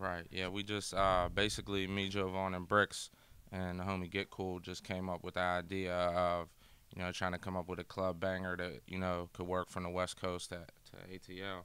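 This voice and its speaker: In a very clean recording over a silent background, a man with an American accent speaks in a flat monotone at a very deep, low pitch, his tone bright and sharp. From Pittsburgh, Pennsylvania. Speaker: rapper. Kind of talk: interview. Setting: on location in Boston.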